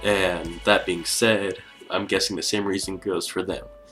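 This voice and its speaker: A man's fairly low voice at a moderate pace, with music in the background. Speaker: YouTuber discussing cartoon theories. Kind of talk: casual talk to camera. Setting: built-in camera microphone.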